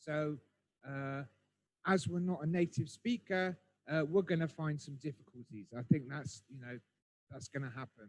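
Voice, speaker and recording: A somewhat breathy voice with a West Country accent, swinging widely in loudness, with ordinary pitch variation, long and frequent pauses, and a dry, close sound free of echo. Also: man, fairly high pitch for a man, moderate pace. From southwest England (Bristol). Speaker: English conversation speaker. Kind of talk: webinar talk. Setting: online webinar. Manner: hesitant, many fillers.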